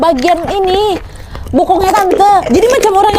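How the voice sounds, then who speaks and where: Very fast and animated, a woman speaks in an extremely high voice. Noticeable background noise runs underneath. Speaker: horror storyteller. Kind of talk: horror story narration to audience. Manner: chatty, animated, conversational.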